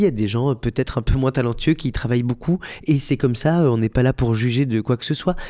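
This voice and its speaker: A man talks at a fairly quick pace with medium pitch and a dark, mellow tone. The recording is very clean with a silent background, and the sound is dry and close with no echo. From Belgium. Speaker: musical theatre actor and director. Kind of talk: podcast interview. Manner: hesitant, many fillers and repetitions.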